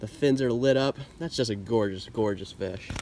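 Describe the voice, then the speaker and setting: A man talks at a moderate pace with ordinary pitch variation, in a dry sound with no echo. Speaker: fishing vlogger. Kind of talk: casual vlog chat. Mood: excited, upbeat. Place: waterside. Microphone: camera far.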